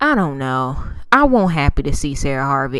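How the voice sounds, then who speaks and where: A woman at a moderate pace with very wide pitch swings, against a quiet background. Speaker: TV show recap vlogger. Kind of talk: casual show recap.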